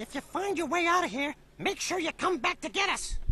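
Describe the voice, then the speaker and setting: This put-on character voice is pitched extremely high and moves at a fairly quick pace. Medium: video game. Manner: nervous, whiny.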